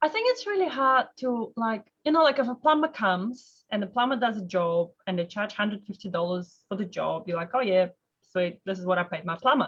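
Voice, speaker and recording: In a non-native accent, a woman talks fairly quickly in a fairly high, somewhat breathy voice. Her intonation is lively. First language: not English. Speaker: mortgage broker hosting a webinar. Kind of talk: casual interview chat. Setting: webinar video call.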